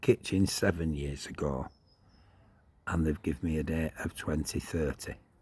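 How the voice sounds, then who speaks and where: A man speaks with a very deep, low pitch and a dark, mellow tone. His voice is somewhat breathy, with long, frequent pauses. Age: 60s. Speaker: vlogger. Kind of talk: casual monologue. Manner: rambling conversational.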